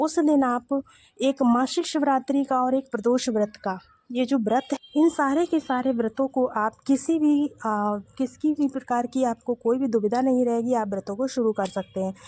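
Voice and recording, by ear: Dry and close with no echo, the voice has a slightly mellow tone, a moderate pace, few pauses, and ordinary pitch variation. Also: woman, high pitch for a woman.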